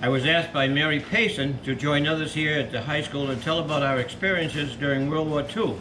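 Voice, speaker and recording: With an eastern New England accent, a man speaks at a fairly quick pace and fairly high pitch with ordinary pitch variation, amid audible room echo and noticeable background noise. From Massachusetts (Millis). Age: 90s. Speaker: war veteran. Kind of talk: reading aloud; casual chat. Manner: halting.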